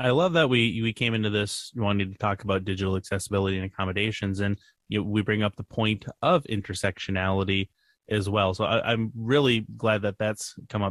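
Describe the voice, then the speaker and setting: At a fairly quick pace, a man speaks in an unremarkable speaking voice. His pitch is fairly low and his intonation fairly even. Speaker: podcast co-host. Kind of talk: casual chat. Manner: frequent filler words.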